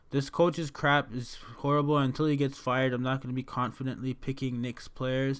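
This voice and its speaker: The man's voice sits at a medium pitch in a very clean recording with a silent background. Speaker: fantasy sports analyst. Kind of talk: casual tutorial commentary. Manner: fast; animated.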